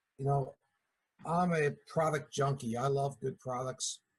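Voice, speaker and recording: Speaking very slowly, a man with a Philadelphia accent sounds somewhat breathy. His intonation stays fairly even. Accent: Philadelphia accent, noticeable. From Philadelphia area, US. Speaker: network marketing distributor. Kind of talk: business meeting talk. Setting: video call.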